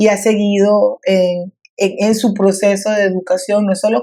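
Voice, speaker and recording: A woman's somewhat breathy, medium-pitched voice, dark and mellow in tone, with monotone, flat intonation. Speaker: coffee educator and podcast host. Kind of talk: casual interview conversation.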